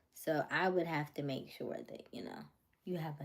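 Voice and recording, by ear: The voice has ordinary pitch variation and a slightly mellow tone. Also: woman.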